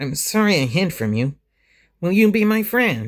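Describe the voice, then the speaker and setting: In a put-on character voice with very wide pitch swings, the speaker moves at a moderate pace on a very clean recording with a silent background. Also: man. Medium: read story.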